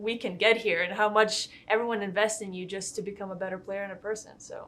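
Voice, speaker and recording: A woman speaks with a Lithuanian accent at a moderate pace. Her pitch is fairly high. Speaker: college golfer. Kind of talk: interview.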